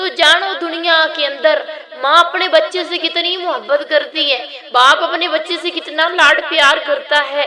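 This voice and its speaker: A woman with an extremely high pitch speaks very slowly in a raised, projected voice, with hardly any pauses. Noticeable background noise and audible room echo surround her. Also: ordinary pitch variation. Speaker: religious teacher. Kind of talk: lecture.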